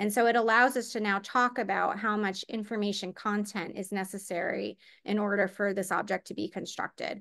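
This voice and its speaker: A woman's medium-pitched, bright and sharp voice in a flat monotone, with hardly any pauses and a quiet background. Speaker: physicist presenting a webinar talk. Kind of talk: lecture. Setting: online webinar. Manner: fast; many filler words (um, uh).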